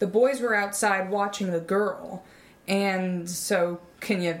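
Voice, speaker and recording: A woman speaks with a medium pitch and fairly even intonation. Hers is a plain, everyday voice. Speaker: podcast host. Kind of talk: scripted comedy podcast, casual banter.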